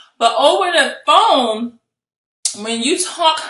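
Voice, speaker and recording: Her tone bright and sharp, a woman speaks with lively intonation amid audible room echo. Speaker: real estate investor and coach. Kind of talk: video tutorial. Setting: home office. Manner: high energy.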